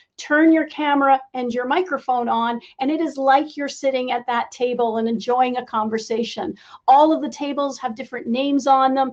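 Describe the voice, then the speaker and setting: Against a quiet background, a woman speaks at a high pitch. Her intonation is fairly even. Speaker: event host for a women's tech network. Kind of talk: closing remarks at a virtual conference. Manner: fast.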